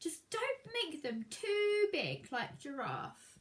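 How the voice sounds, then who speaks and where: This is a put-on character voice with very wide pitch swings. The pace is very slow. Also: woman, extremely high pitch for a woman. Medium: read story. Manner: curious, slightly vain.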